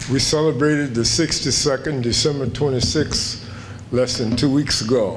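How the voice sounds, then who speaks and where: A man speaks at a medium pitch and a moderate pace, with fairly even intonation and very even loudness. Audible room echo and noticeable background noise are present. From Kentucky, Fayette County. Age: 80s+. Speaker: retired professor, award honoree. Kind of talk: acceptance speech.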